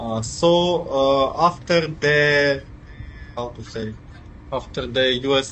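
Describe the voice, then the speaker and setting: A man at medium pitch, ordinary pitch variation and a very slow pace, with noticeable background noise. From Ukraine. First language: Ukrainian or Russian. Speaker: IT worker. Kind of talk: interview. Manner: halting, many fillers.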